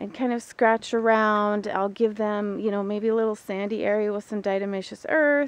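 Dry, echo-free sound carries a woman's voice. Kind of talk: casual vlog chat. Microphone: phone near.

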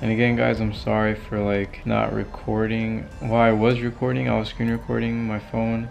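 Speech at a moderate pace plays over faint background music. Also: man. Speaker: vlogger. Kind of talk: casual vlog chat. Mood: amused, slightly guilty. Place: home room. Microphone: phone near.

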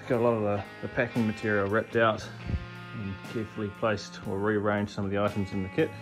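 Over clear music in the background, a man talks at a very fast pace with fairly even intonation. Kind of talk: casual vlog chat. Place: garage. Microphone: phone near.

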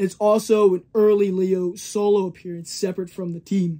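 The voice has a dark, mellow tone and moves at a moderate pace. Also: man. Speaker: comic collector. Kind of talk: casual review talk. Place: shop.

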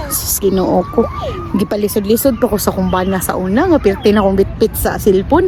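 A woman talks at a fairly quick pace, and noticeable background noise runs under her voice. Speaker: family vlogger. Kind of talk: casual vlog narration. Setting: outdoors in a park.

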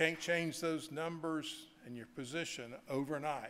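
With a Southern US accent, a man speaks at a moderate pace. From US South. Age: 70s. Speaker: bank executive; speaker. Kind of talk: keynote speech. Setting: stage with audience. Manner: folksy, joking. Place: hall. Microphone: podium.

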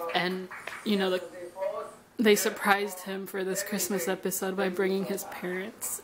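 A woman at a fairly slow pace over clear music in the background. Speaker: vlogger. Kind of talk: casual vlog chat. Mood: emotional, reflective. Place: home room. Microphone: phone near.

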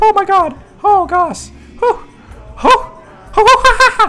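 Over faint music in the background, a put-on character voice with extremely high pitch and an excited tone moves at a fairly slow pace. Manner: excited, hooting.

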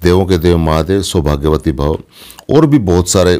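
Dark and mellow, the tone belongs to a man. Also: quiet background. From Haryana, Dujana village (Jhajjar); Haryana. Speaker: film actor; actor being interviewed. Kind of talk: interview. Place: home room. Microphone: phone near.

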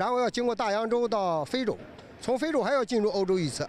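A man with a high pitch talks at a moderate pace. The sound is dry with no echo, and there is light background noise. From Jiangsu, east China. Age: 60s. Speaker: farmer and long-distance tricycle traveller. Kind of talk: interview answer. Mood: cheerful, earnest. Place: street. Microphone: handheld.

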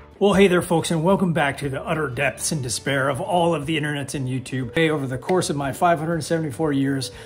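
The voice shows ordinary pitch variation, with light background noise behind it. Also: man. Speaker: online reseller. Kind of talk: casual vlog chat. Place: office. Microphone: phone near.

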